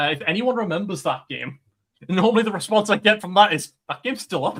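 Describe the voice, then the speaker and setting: Talking at a very fast pace, a man has a Geordie accent. His pitch is high and his intonation lively. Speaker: streamer. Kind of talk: casual chat.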